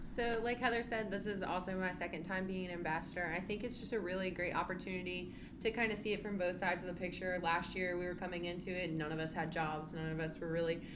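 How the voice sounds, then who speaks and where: Over noticeable background noise and audible room echo, a woman with an American accent speaks very fast at a fairly low pitch with fairly even intonation. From central Virginia, US. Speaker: new physical education teacher. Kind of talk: casual interview.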